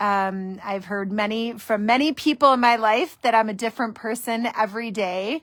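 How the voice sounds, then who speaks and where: A woman's fairly high voice at a moderate pace, with ordinary pitch variation, hardly any pauses, and a very clean recording over a silent background. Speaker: divorce mediator. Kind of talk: casual monologue on a Facebook live video. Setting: Facebook live stream. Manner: loud.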